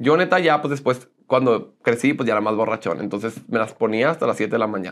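A man with an animated tone, a fairly quick pace and hardly any pauses. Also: ordinary pitch variation. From northern Mexico, Monclova, Coahuila; Coahuila, Mexico. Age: 30s. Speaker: social media personality; interview guest. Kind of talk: interview, casual chat. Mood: relaxed, candid, storytelling. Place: studio. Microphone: lapel.

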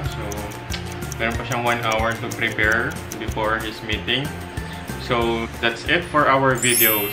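A man speaks at a fairly slow pace with clear music playing in the background. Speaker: vlogger. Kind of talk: casual vlog chat. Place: kitchen. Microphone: phone near.

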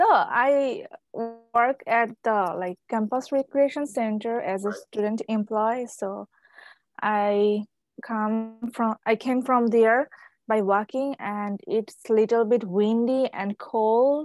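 At a very slow pace and with ordinary pitch variation, a woman speaks in a dry sound with no echo, faint music in the background. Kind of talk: casual conversation. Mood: giggly, friendly. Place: home room. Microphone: earbuds.

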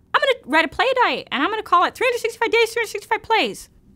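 A woman puts on a nasal character voice at an extremely high pitch with lively intonation. She talks fairly quickly, with big swings in loudness. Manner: creepy.

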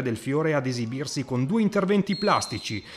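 A man delivers his lines in an animated, dramatic tone with lively intonation. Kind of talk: sports highlights voiceover, scripted narration. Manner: fast, animated, dramatic, formal journalistic tone.

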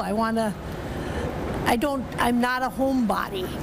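A woman speaks over noticeable background noise. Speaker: arena ticket scanner. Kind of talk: interview answer. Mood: warm, cheerful. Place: hall. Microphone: lapel.

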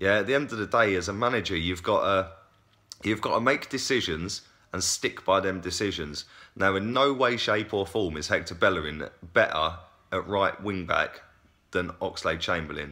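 Against a quiet background, the voice has a bright, sharp tone and a moderate pace. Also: man, fairly low pitch for a man, ordinary pitch variation. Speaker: football fan vlogger. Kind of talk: casual vlog commentary. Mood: frustrated opinionated. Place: home room. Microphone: phone near.

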